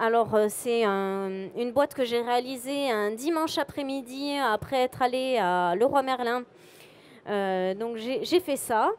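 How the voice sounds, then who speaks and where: The speech comes at a very slow pace with ordinary pitch variation, in a southern French accent. The recording is very clean, with a silent background. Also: woman, high pitch for a woman. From southwest France, Montauban. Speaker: photographer. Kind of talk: conference talk presenting photos. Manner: bubbly.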